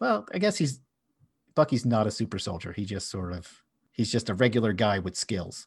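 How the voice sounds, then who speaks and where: A man with an American accent speaks at a moderate pace in a fairly low pitch, somewhat breathy, with ordinary pitch variation over a quiet background. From US, Philadelphia. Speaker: podcast host. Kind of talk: casual chat.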